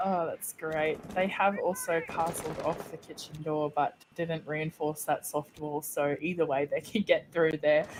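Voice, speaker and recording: Speaking at a fairly slow pace with hardly any pauses, the woman keeps her intonation fairly even. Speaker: esports caster. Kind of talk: live commentary. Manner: not very loud.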